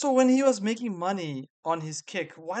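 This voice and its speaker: This man's voice sits high for a man and has a non-native accent. His pitch swings very widely. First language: not English. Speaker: interviewer. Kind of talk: interview.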